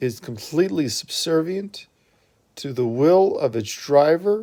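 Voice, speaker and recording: A man's fairly high voice carries a dark, mellow tone. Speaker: religious text reader. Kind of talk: reading aloud. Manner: deliberate pausing.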